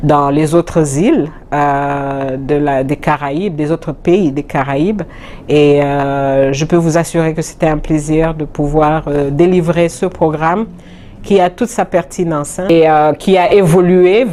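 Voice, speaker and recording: A woman speaks at a very slow pace. Her pitch is very deep and low, with ordinary variation. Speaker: UN agency deputy director. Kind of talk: interview. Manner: hesitant, many fillers.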